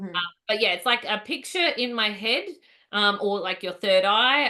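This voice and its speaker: A woman with a plain, everyday voice, moderate pace and ordinary pitch variation. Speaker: psychic medium. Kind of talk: casual chat.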